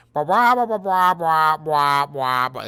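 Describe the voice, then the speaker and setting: This is a put-on character voice at a middle pitch. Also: fairly slow pace. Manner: mocking, dismissive.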